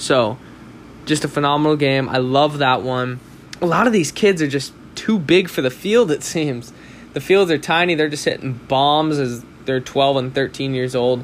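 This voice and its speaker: In an American accent, a man with a normal speaking voice talks at a moderate pace, with fairly high pitch and ordinary pitch variation. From Southern California. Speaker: sports podcast host. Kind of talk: solo sports commentary podcast.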